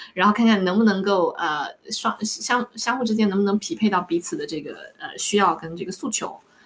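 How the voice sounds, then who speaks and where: With noticeable background noise, a woman at medium pitch talks at a fairly quick pace, her intonation lively and her loudness swinging widely. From Fujian, China. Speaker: life coach. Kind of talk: interview.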